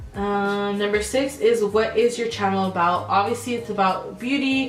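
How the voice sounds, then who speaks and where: A woman speaks in an American accent at medium pitch and a moderate pace, with ordinary pitch variation. Music plays in the background, and the room echo is audible. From California, Sacramento area. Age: 20s. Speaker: beauty vlogger. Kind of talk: casual chat. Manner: animated.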